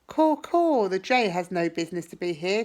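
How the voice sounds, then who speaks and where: A croaky, put-on character voice, female-sounding and at medium pitch, at a moderate pace. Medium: read story. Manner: repetitive squawking.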